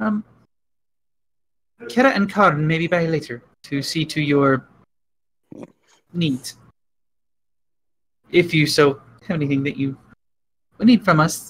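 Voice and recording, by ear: Using a put-on character voice, a man sounds squeaky at a fairly high pitch, with lively intonation, a moderate pace, and long, frequent pauses.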